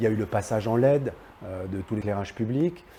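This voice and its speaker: A somewhat breathy man with a dark, mellow tone, a fairly quick pace and ordinary pitch variation. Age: 60s. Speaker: local politician. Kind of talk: political address to camera. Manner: hesitant, many filler sounds.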